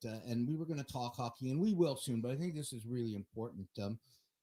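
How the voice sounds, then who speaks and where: At a very fast pace, a man with a dark, mellow tone and a medium pitch speaks with lively intonation, somewhat breathy, in a dry, close sound with no echo. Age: 60s. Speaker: sports podcast host. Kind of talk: casual chat. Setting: studio.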